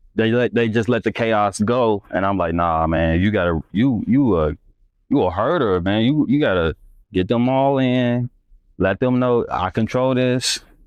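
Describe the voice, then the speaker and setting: An ordinary speaking voice with an American accent, lively intonation and very even loudness. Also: man, medium pitch for a man, fairly slow pace. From US Midwest, Northwest Indiana. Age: 30s. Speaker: photographer. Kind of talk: casual interview chat. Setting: live stream.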